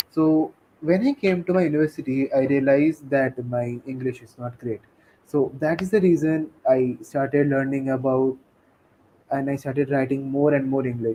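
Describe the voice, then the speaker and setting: With a Bengali accent, a man speaks at a moderate pace in a fairly high, dark, mellow voice, his intonation fairly even while his loudness swings widely. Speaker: tech community leader and technical writer. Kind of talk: interview.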